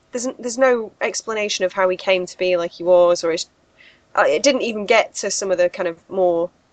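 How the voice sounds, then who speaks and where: With a British accent, the voice moves at a fairly quick pace with ordinary pitch variation, heard dry and close with no echo over a quiet background. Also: woman, medium pitch for a woman. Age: 30s. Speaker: horror podcast co-host. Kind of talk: casual chat.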